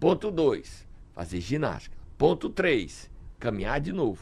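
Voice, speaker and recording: The voice carries vocal fry. Its pace is very slow. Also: man. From Brazil, Ceará (Sobral). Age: 60s. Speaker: political commentator. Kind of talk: radio talk show commentary. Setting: radio studio.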